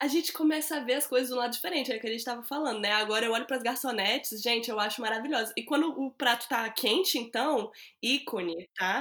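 A woman talks very fast at a high pitch with hardly any pauses and ordinary pitch variation over noticeable background noise. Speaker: podcast host, journalist. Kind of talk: casual interview chat.

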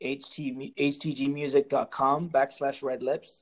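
This is a man with an ordinary speaking voice at medium pitch. His intonation stays fairly even. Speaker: musician. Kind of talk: casual chat.

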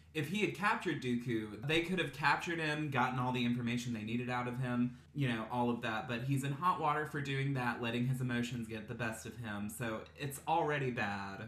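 Over noticeable background noise and audible room echo, a man with an American accent speaks at a fairly quick pace with hardly any pauses and ordinary pitch variation. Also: medium pitch for a man. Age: 20s. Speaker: podcast host. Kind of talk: casual chat.

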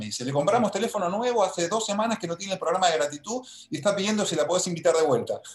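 Over noticeable background noise, a man speaks very fast with lively intonation. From Argentina. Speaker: life coach. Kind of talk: interview.

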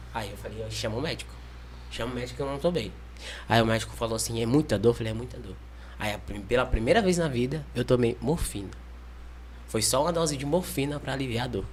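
A man talking very fast amid long, frequent pauses, with audible room echo. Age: 20s. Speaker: liver transplant patient, mission volunteer. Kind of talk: testimony.

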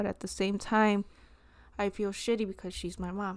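On a very clean recording with a silent background, a woman with a plain, everyday voice speaks at a moderate pace and medium pitch with an American accent. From Chicago, Mexican American. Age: 20s. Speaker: podcast co-host. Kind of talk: casual chat.

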